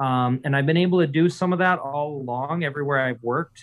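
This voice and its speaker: With an American accent, a man speaks at a moderate pace and with fairly even intonation. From Upper Peninsula of Michigan, rural. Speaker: brewer and brewery co-founder. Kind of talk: interview. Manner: hesitant, many fillers.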